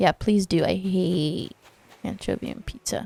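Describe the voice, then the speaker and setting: Fairly slow, animated speech in a non-native accent, dry and close with no echo, with music in the background. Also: woman. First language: not English. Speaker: gaming video creator. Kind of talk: casual gameplay commentary.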